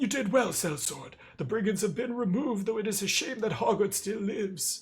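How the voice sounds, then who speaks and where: At a fairly quick pace, a man puts on a character voice at a high pitch. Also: ordinary pitch variation. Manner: dignified, matter-of-fact.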